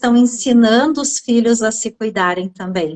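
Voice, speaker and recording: High-pitched female voice in a southern Brazilian accent, the sound dry and close with no echo. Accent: gaúcho. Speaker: therapist. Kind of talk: conversational interview.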